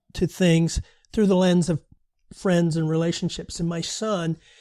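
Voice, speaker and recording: Dark, mellow male voice on a very clean recording with a silent background. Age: 70s. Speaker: author and futurist. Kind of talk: casual interview chat.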